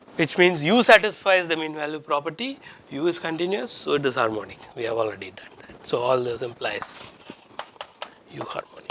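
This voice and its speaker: With noticeable background noise behind him, a man talks at a fairly quick pace and a fairly high pitch, with very wide pitch swings, big swings in loudness, and long, frequent pauses. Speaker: professor. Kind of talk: lecture. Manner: halting.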